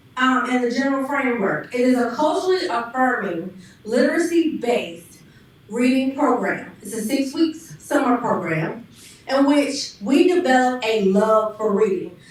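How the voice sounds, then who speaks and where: A woman talks at a moderate pace with a high pitch and lively intonation. Noticeable background noise and audible room echo surround her voice. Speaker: panelist, youth education program leader. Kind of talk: presentation to an audience. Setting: church hall with live audience and Zoom.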